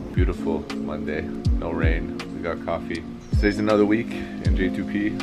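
Loud music plays behind a man speaking at a moderate pace. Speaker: fitness vlogger. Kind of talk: casual vlog chat. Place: garden. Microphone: phone near.

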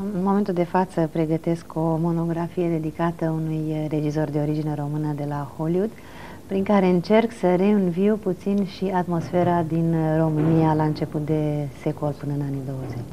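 Fairly low pitch from a woman, fairly even intonation, moderate pace and light background noise. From Romania, Bucharest. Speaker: film historian; interview guest. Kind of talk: television interview. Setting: TV studio. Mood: calm, reflective. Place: studio. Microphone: lapel.

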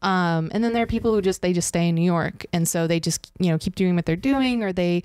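A woman speaks at a fairly quick pace in a fairly low pitch with ordinary pitch variation. The background is quiet. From US West Coast, San Francisco Bay Area; US West Coast. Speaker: mixed media and performance artist; podcast guest. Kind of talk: casual chat. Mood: relaxed, reflective. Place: home room. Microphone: handheld.

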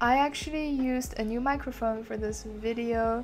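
Faint music plays in the background as a woman speaks at a fairly slow pace. Her pitch varies in an ordinary way. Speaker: vlogger. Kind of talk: casual vlog narration.

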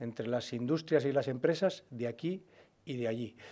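A man with a dark, mellow tone talks at a moderate pace with ordinary pitch variation. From Spain, Burgos (Castilla y León); Castilla y León, Spain. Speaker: regional party leader, politician; politician. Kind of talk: press conference. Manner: halting, many fillers and repetitions. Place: meeting room. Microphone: podium.

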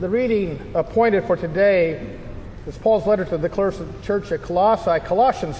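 Recorded over light background noise, a man with a high pitch talks at a moderate pace with ordinary pitch variation. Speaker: pastor leading chapel. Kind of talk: liturgical scripture reading. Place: church.

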